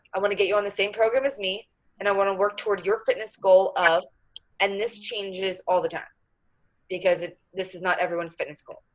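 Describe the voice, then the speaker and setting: A woman with an ordinary speaking voice talks in a medium pitch, keeping her intonation fairly even. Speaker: fitness coach. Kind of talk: coaching talk. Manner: casual.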